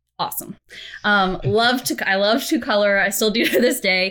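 Recorded very cleanly against a silent background, a woman with a plain, everyday voice speaks at a moderate pace and medium pitch, with ordinary pitch variation. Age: 30s. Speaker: storyteller at a software company. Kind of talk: interview conversation.

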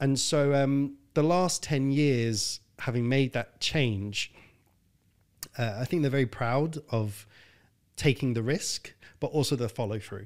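Speaking very slowly with long, frequent pauses, a man with a London accent keeps a medium pitch and ordinary pitch variation on a very clean recording with a silent background. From North London, England. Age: 30s. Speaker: health consultant. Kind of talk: casual interview.

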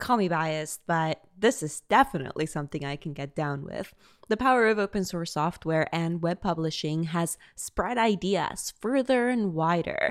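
At a moderate pace with hardly any pauses, a woman speaks in a plain, everyday voice, fairly low-pitched with lively intonation. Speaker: podcast host. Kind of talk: scripted narration with interview clips.

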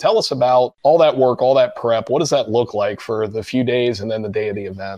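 Speaking with a Midwestern American accent, a man has a medium pitch, ordinary pitch variation and a dark, mellow tone. He moves at a fairly quick pace with hardly any pauses. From Cincinnati, Ohio. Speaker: podcast host. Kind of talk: interview.

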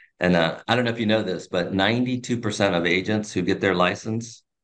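This man has an ordinary speaking voice, fairly low in pitch, with fairly even intonation at a moderate pace. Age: 40s. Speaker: real estate agent and team leader. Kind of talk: interview.

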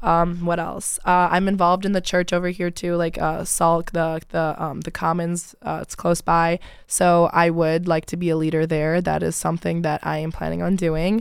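A woman with a Midwestern American accent speaks at a moderate pace and fairly low pitch, in a monotone, flat intonation with hardly any pauses. The recording is very clean, the background silent. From Michigan (Rochester Hills). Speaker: college student. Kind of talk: casual interview.

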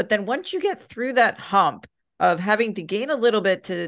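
A woman talks in an ordinary speaking voice, pitched fairly high, with lively intonation. The background is quiet. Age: 40s. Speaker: podcast host and fitness coach. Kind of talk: casual chat.

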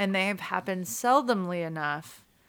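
On a very clean recording with a silent background, a woman with an American accent has an ordinary speaking voice, medium in pitch, at a moderate pace. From Illinois. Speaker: singer-songwriter. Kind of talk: interview.

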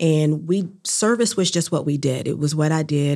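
A woman's very deep, low voice, dark and mellow in tone, with ordinary pitch variation. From US South, North Carolina (New Bern, Durham). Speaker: chamber of commerce executive. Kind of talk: interview.

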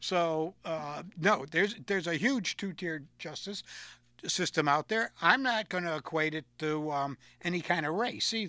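In a very clean, dry, close recording with no echo and a silent background, a man with an American accent speaks at a high pitch and moderate pace, his tone bright and sharp with ordinary pitch variation. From Connecticut. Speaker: local radio host. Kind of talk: casual political talk show. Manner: halting, many fillers.

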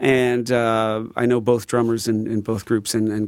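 A man's fairly low, monotone voice with flat intonation on a very clean recording with a silent background. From Chicago, southeast side. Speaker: drummer and former drum shop owner. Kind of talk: casual interview chat. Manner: talkative, many fillers.

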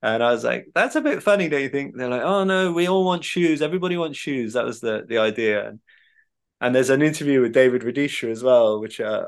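A man at a very fast pace, in a southern English accent, with ordinary pitch variation. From England, Devon. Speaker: author and journalist. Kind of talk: interview conversation.

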